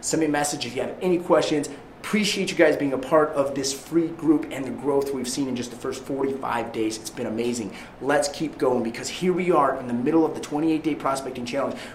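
A fairly high-pitched man at a fairly quick pace with ordinary pitch variation, noticeable background noise and audible room echo. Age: 30s. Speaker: real estate agent and sales coach. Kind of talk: motivational training talk. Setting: live stream to an online group. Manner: animated.

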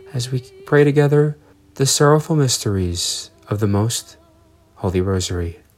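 A man of medium pitch speaks with music in the background. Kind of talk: scripted radio announcements. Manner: formal, warm.

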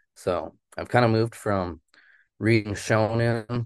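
In a Canadian accent, a normal speaking voice moves at a fairly slow pace with fairly even intonation against a quiet background. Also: man. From Yukon, Canada (Haines Junction). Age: 30s. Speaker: comic artist. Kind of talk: interview. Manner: casual, many fillers.

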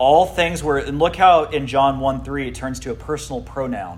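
An unremarkable speaking voice from a man, medium in pitch with ordinary pitch variation, at a fairly slow pace. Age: 40s. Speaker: pastor. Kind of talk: youth Bible teaching. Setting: youth group room with audience.

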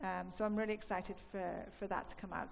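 Vocal fry from a woman at medium pitch, with fairly even intonation. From Wales. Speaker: film industry executive. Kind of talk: on-stage interview. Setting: stage with audience.

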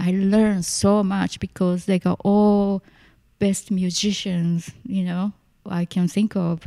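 A woman with a Japanese accent speaks at a very slow pace and medium pitch, her tone dark and mellow. Her intonation is monotone and flat, and the sound is dry and close with no echo. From Tokyo, Japan. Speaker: musician and performance artist. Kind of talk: casual interview chat.

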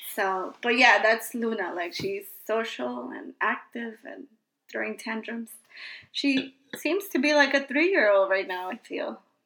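With an American accent, a woman's fairly high, bright, sharp voice carries vocal fry and lively intonation at a fairly slow pace. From Queens, New York. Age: 30s. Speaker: podcast host, mother. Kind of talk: casual chat.

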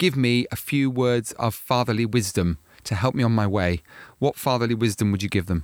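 An ordinary speaking voice, this man's sits at a medium pitch and moves at a fairly quick pace with ordinary pitch variation, dry and close with no echo in a very clean recording with a silent background. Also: very even loudness. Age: 50s. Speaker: podcast host. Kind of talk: interview; scripted narration.

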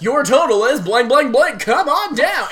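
A female-sounding voice in a put-on character voice speaks high for a woman at a moderate pace. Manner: bright, overly cheerful, announcing.

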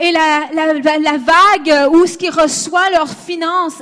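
Through noticeable background noise comes a woman's voice at an extremely high pitch. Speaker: interpreter and conference speaker. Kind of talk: consecutive interpreting of a sermon, plus personal testimony.

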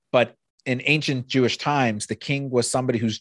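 An unremarkable speaking voice from a man at medium pitch, moderate pace and fairly even intonation, dry and close with no echo, on a very clean recording with a silent background. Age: 40s. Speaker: podcast host, rabbi. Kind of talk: casual interview chat.

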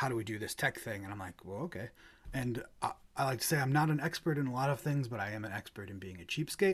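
Very fast and somewhat breathy, a man talks at a medium pitch with lively intonation. The recording is very clean, with a silent background. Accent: American. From US Midwest. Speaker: hymn channel creator. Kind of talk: casual interview.

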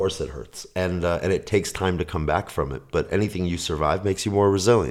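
With vocal fry and a very deep, low pitch, a man speaks at a very fast pace with hardly any pauses and ordinary pitch variation. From Minneapolis and New York, US. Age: 40s. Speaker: techno DJ and producer. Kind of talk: interview conversation.

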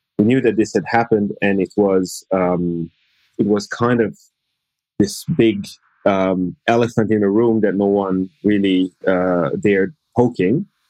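Recorded dry and close with no echo, a man with an Italian accent speaks at a fairly slow pace in a fairly low, dark, mellow voice, with fairly even intonation and very even loudness. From Italy. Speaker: law professor. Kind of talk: casual interview.

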